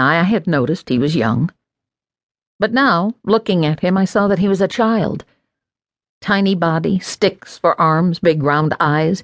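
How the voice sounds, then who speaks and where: Over a quiet background, a woman speaks at a fairly low pitch and a moderate pace with lively intonation and a dramatic tone. The sound is dry and close with no echo, and the loudness is very even. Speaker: audiobook narrator. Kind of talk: audiobook narration of a memoir, first person. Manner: dramatic, measured storytelling with shifts into a child's voice for quoted dialogue; reflective, warm, expressive pacing with pauses for effect.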